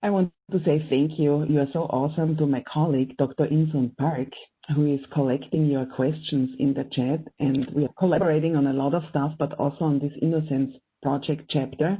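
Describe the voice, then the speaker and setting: In a strong German accent, a woman speaks at a very deep, low pitch and a fairly quick pace with very even loudness. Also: fairly even intonation. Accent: thick German. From Austria. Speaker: professor and event moderator. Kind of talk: panel event introduction. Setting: online video event.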